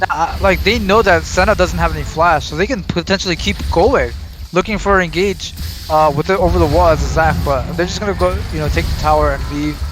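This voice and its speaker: Music plays behind the voice. A man talks fairly quickly. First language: Arabic. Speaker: esports caster. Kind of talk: live commentary. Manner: animated.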